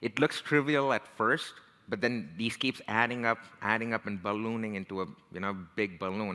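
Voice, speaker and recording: Speaking with an Indian American accent at a moderate pace, the voice has a bright, sharp tone and ordinary pitch variation on a very clean recording with a silent background. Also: man. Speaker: tech career strategist and leadership coach. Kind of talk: talk. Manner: casual, conversational.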